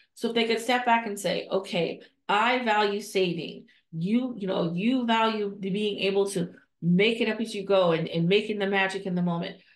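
A woman speaks at a moderate pace with fairly even intonation, and room echo is audible. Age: 50s. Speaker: nonprofit leadership coach and podcast host. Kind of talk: solo podcast monologue. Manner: conversational, with frequent fillers and restarts. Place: home room. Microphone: earbuds.

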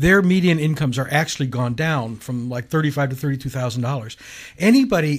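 Over a quiet background, a man with a fairly high pitch and ordinary pitch variation speaks in a somewhat breathy voice. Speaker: bishop, show co-host. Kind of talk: casual talk radio discussion. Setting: radio studio. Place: studio.

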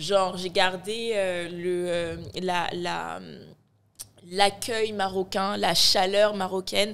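A woman talks at a very slow pace. Her intonation is monotone and flat. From Morocco (born in Ivory Coast). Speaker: media founder and content creator; content creator. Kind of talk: casual chat. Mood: reflective, warm. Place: studio. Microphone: studio mic.

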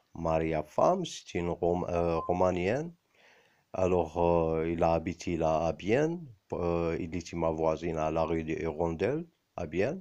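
Against a quiet background, a man with an Arabic accent talks at a fairly slow pace. His very deep, low voice has a dark, mellow tone and fairly even intonation. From Algeria. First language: Arabic (speaking French). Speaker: video blogger. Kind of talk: personal monologue to camera. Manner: halting, many hesitations.

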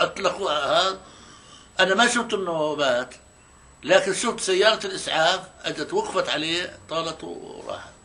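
A man speaks in a Palestinian accent with a raised, projected voice. His pace is fairly slow. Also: ordinary pitch variation. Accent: Palestinian rural Arabic. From Palestine, Tira near Tulkarm. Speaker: Nakba witness. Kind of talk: oral history interview answer. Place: home room.

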